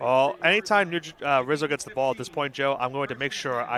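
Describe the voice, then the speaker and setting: A man with a New York accent talks very fast at a medium pitch with ordinary pitch variation, amid noticeable background noise. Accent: Staten Island. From Staten Island, New York. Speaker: color commentator. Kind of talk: live commentary.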